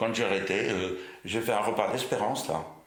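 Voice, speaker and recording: A man with a fairly low voice talks at a fairly quick pace, and the room echo is audible. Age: 80s+. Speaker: retired butcher. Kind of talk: oral history interview. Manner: hesitant, many fillers.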